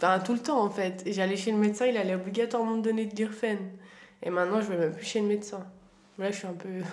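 Over noticeable background noise and audible room echo, a woman talks at a very fast pace. Her medium pitch carries fairly even intonation. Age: 20s. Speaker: young woman sharing family story. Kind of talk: casual interview.

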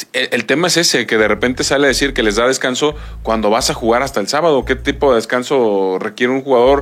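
A man speaks at a very fast pace, with hardly any pauses. His medium-pitched voice holds very even loudness and ordinary pitch variation. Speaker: sports commentator. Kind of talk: sports talk show.

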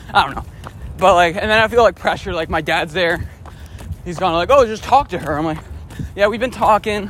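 The speech comes at a fairly quick pace with long, frequent pauses. Pitch varies in an ordinary way over noticeable background noise. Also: man, high pitch for a man. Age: 20s. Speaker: running podcast host. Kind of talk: casual monologue while running. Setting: outdoors on a run.

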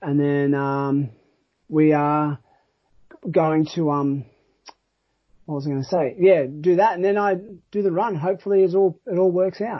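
A man with an Australian accent talks at a moderate pace, his pitch fairly high and its variation ordinary. He leaves long, frequent pauses. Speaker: trail running podcast host. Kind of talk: casual chat.

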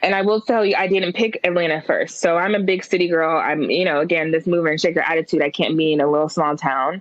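A woman with an American accent talks at a very fast pace with hardly any pauses in a fairly low, confident, animated tone, with ordinary pitch variation, very even loudness and noticeable background noise. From Oakland, California. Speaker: creative brand co-founder. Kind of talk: casual interview conversation. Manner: outspoken, confident, animated.

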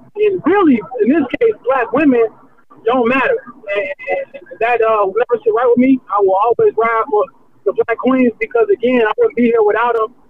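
A man with an American accent speaks at an extremely high pitch with ordinary pitch variation. Noticeable background noise is present. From US Midwest, Romeoville, Illinois. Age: 20s. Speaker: sports reporter. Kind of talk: casual interview. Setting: on the move.

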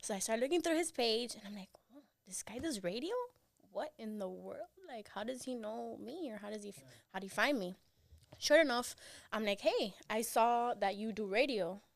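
Lively intonation marks this woman's fairly high voice, in a Miami accent. She talks at a fairly quick pace. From Miami, Cuban-American. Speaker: radio co-host and student. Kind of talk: casual chat. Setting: studio.

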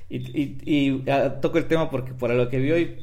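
A man speaks with audible room echo. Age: 30s. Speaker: podcast co-host. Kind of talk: casual chat.

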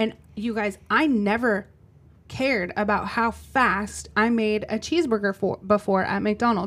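At a fairly slow pace, a woman speaks in a normal speaking voice, fairly high in pitch with ordinary pitch variation. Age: 40s. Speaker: podcast co-host and business owner. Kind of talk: casual chat.

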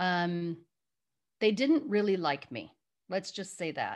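Over a quiet background, a woman talks in a medium pitch. She has an American accent. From US Midwest, Chicago area. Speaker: executive coach and business founder. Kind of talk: interview.

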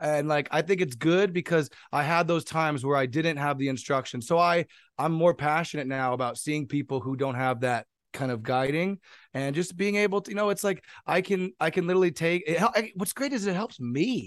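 A man with an American accent and an ordinary speaking voice talks at a fairly quick pace and fairly high pitch, with lively intonation and a quiet background. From US West Coast, San Jose, California. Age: 20s. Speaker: DJ and music producer. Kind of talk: casual chat.

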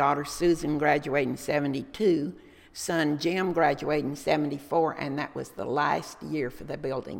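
A woman with a Texan accent and a very deep, low pitch, fairly slow and fairly even in intonation, with big swings in loudness. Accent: Texan Southern US. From Texas, Dallas. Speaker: local historian and retiree. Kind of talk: interview, life story.

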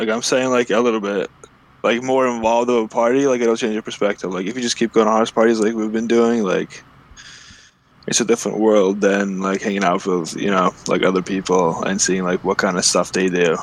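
In an unremarkable speaking voice, a man talks fairly quickly at a fairly low pitch with fairly even intonation. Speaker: podcast co-host. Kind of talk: casual banter. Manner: teasing, cocky.

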